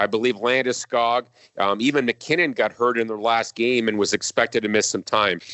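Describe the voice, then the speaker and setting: An unremarkable speaking voice from a man with an American accent, medium in pitch and at a fairly quick pace. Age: 50s. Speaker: hockey TV play-by-play announcer. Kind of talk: casual interview.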